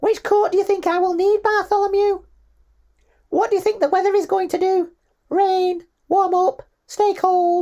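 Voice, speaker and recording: A put-on character voice at an extremely high pitch comes with long, frequent pauses. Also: moderate pace. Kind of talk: comedic audiobook narration. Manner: unusual put-on voice, hard to sustain.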